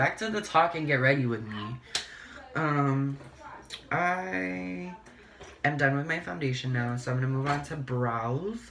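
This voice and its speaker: A man talks at a fairly high pitch amid noticeable background noise and audible room echo. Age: 20s. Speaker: beauty vlogger. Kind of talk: casual get-ready-with-me chat.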